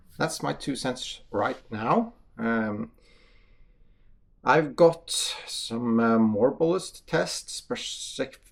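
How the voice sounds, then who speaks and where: A man with a Norwegian accent speaks at a very slow pace, leaving long, frequent pauses. His loudness swings widely. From Norway. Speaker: hunter and shooting channel host. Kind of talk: casual talk to camera. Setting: shooting range. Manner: halting, many fillers.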